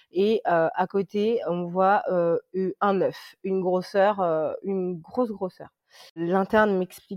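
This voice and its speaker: A woman's voice in monotone, flat intonation. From France, moved from Congo as a small child. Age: 30s. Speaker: insurance claims adjuster and mother. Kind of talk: casual interview, personal testimony. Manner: hesitant, many fillers and repetitions.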